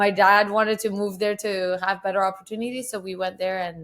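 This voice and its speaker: This woman moves along fairly quickly. Her intonation stays monotone and flat. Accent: Persian. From Iran until age 10, then Vancouver, Canada. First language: Persian. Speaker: photographer. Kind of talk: casual interview chat.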